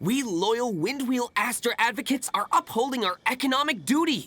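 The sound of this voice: A man's put-on character voice, extremely high in pitch, fairly bright in tone, with lively intonation at a moderate pace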